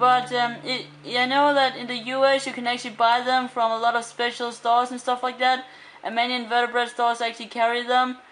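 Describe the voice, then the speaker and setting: A woman at a fairly quick pace, high-pitched and flat in a monotone, with noticeable background noise. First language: Danish. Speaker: aquarium hobbyist vlogger. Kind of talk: tutorial. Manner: hesitant, many fillers.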